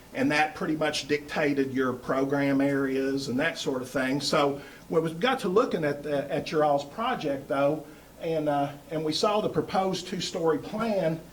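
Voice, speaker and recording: A man at a fairly high pitch, with audible room echo and noticeable background noise. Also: ordinary pitch variation, moderate pace. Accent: Kentucky. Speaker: architect presenting to school board. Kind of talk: presentation pitch. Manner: loud; hesitant fillers.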